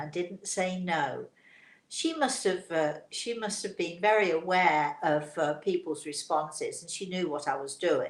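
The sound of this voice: With audible room echo around her, a woman speaks at a fairly slow pace in a fairly low pitch.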